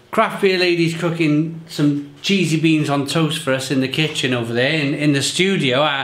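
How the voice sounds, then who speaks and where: A man's voice with ordinary pitch variation in audible room echo. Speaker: beer reviewer. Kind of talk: casual vlog chat. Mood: cheerful, upbeat. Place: home room.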